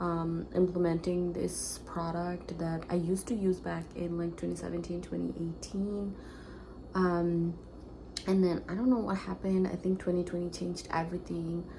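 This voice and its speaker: A woman is whispering. Audible room echo surrounds her voice. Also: moderate pace. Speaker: lifestyle vlogger. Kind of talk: casual vlog talk to camera. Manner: hesitant, many fillers.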